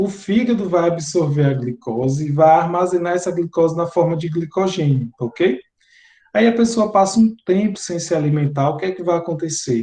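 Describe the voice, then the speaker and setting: A man with a Bahian accent talks at a moderate pace in a high-pitched voice with a dark, mellow tone. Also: ordinary pitch variation. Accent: Bahian Brazilian Portuguese, noticeable. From Bahia interior, Brazil. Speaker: teacher. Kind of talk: lecture.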